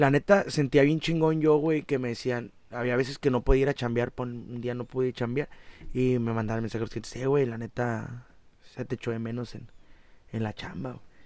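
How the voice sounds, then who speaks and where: A man talks at a moderate pace and medium pitch with fairly even intonation. His loudness swings widely. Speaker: musician. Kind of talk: casual chat.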